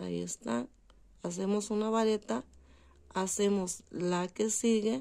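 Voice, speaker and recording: Speaking at a very slow pace with long, frequent pauses, a woman has a dark, mellow tone. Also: medium pitch for a woman, ordinary pitch variation. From Durango, Mexico. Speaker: crochet instructor. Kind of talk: tutorial. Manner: conversational.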